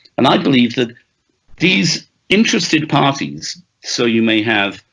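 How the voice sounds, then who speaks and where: The delivery has a bright, sharp tone, lively intonation and a Welsh accent. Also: man. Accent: Welsh-tinged British English. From Wales. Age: 60s. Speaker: author and journalist. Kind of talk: interview.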